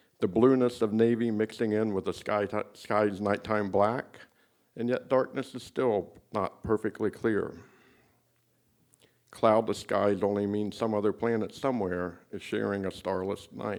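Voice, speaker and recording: An ordinary speaking voice, fairly slow in pace, with fairly even intonation. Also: man, fairly low pitch for a man. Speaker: poet. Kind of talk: poetry reading. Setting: live open mic in a tavern.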